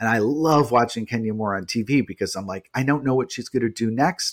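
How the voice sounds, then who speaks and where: Ordinary pitch variation marks an ordinary speaking voice delivered at a fairly quick pace. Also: man. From New York City. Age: 40s. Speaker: journalist and author. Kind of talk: casual interview. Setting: remote recording from apartment.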